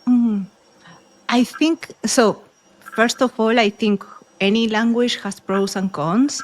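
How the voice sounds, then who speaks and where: A woman with a Spanish accent, fairly high in pitch, at a very slow pace with long, frequent pauses. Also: ordinary pitch variation. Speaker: author and podcaster. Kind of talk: casual interview chat.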